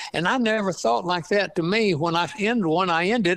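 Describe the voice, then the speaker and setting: A man with an East Texas accent speaks at a moderate pace. His pitch is high, with ordinary variation. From East Texas, Piney Woods. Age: 80s+. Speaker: author and retired scientist. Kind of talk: interview. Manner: halting, many fillers.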